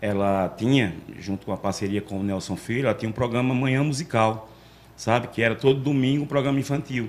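A man speaks at a fairly quick pace in an ordinary speaking voice. His pitch sits in the medium range, with ordinary variation. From Arapiraca, Alagoas, Brazil. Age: 40s. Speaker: street loudspeaker announcer. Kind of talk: casual interview. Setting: studio.

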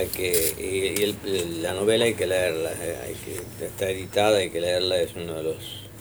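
A man with a Rioplatense accent amid noticeable background noise. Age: 80s+. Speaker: historian and radio host. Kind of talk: radio interview. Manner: halting.

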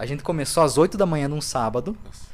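The speaker, a man, talks at a fairly quick pace. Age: 20s. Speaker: comedian and video creator. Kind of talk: casual interview chat. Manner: animated.

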